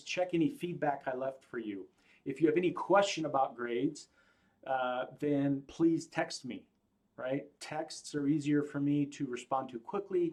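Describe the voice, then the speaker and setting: A man speaks at a fairly quick pace in a fairly high pitch. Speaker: college instructor. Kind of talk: lecture. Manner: casual.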